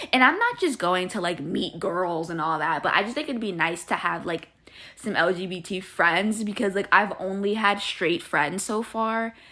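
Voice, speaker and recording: A woman of medium pitch at a moderate pace, with ordinary pitch variation and noticeable background noise. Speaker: podcast host. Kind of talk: casual chat.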